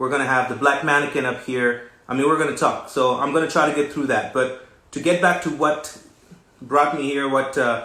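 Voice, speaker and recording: A man speaks at a fairly quick pace in a fairly high pitch with fairly even intonation, with audible room echo and noticeable background noise. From West Africa. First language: French. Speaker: recording artist and designer hosting a livestream. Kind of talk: live social media talk. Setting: livestream.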